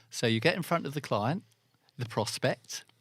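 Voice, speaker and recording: Fairly quick speech from a man with an English accent, medium pitch and very wide pitch swings, in a dry, close sound with no echo on a very clean recording with a silent background. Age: 60s. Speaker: business development manager in the car industry. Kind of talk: interview. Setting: studio. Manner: halting.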